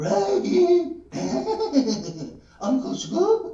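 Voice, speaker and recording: Someone uses a put-on character voice at a high pitch. A slight echo is audible. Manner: goofy cartoon voice.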